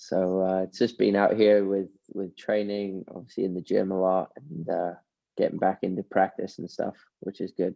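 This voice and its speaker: A man with an American accent and a very deep, low pitch, moderate pace and monotone, flat intonation. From United States. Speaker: professional golfer. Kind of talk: casual interview.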